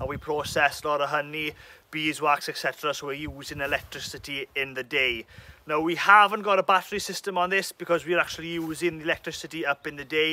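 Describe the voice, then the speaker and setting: A man speaks in a bright, sharp tone at a fairly quick pace. His intonation is fairly even, and the sound is dry with no echo. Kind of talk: tutorial. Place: open country. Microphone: phone near.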